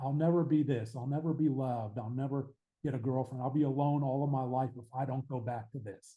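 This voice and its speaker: Speaking at a fairly quick pace, a man of medium pitch sounds somewhat breathy, with fairly even intonation. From Pittsburgh, Pennsylvania, US. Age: 60s. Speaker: author and addiction recovery advocate. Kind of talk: podcast interview.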